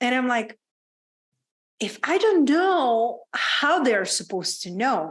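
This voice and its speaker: A woman with a Czech accent speaks at a very slow pace in a high pitch, with very wide pitch swings and long, frequent pauses. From Czech Republic, small town. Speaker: women's business coach. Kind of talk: podcast interview.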